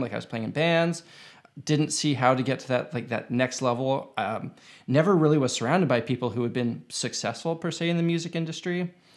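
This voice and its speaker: A man talks in a normal speaking voice at a fairly quick pace. His pitch varies in an ordinary way. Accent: Canadian. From Canada, Winnipeg. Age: 30s. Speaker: YouTube guitarist. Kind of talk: casual chat.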